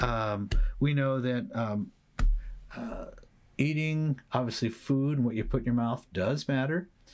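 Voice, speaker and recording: A man is speaking. Music plays in the background. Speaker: psychologist and podcast host. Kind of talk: solo educational talk. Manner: hesitant with fillers.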